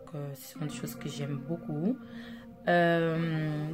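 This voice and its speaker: A woman with a non-native accent speaks fairly slowly at a fairly low pitch while music plays in the background. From Angola. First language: Portuguese (speaking French). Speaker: makeup artist, vlogger. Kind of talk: casual vlog introduction. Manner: hesitant, many fillers.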